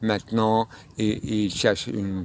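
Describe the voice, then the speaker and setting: The speaker has a non-native accent. Noticeable background noise is present. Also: man. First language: not French (speaking French). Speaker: philosophy speaker. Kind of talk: spontaneous philosophical monologue. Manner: halting, many hesitations.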